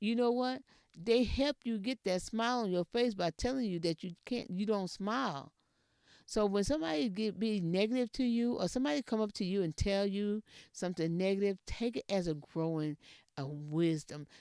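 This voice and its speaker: A Texas accent at a moderate pace, on a very clean recording with a silent background. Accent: country Texas speech. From Texas, rural area near Edna. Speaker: podcast host. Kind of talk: motivational talk. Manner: repetitive, emphatic.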